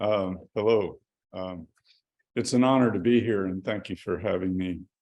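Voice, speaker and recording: Talking at a fairly slow pace, a man with an American accent has a very deep, low pitch. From northeast Oklahoma. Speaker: environmental activist. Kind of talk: talk at a church service. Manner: hesitant, many fillers.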